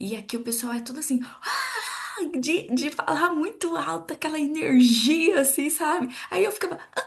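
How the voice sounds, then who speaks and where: Her high pitch carries lively intonation as the woman moves along at a fairly slow pace. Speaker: podcast co-host. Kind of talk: casual chat. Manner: soft-spoken.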